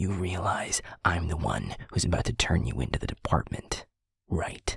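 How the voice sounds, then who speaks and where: A man whispering in a put-on character voice at a moderate pace. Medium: audio drama. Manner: commanding, harsh.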